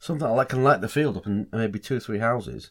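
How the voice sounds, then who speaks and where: A man rattles along at a very fast pace, medium in pitch with ordinary pitch variation, on a very clean recording with a silent background. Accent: Lincolnshire. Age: 60s. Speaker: podcast co-host. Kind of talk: casual chat.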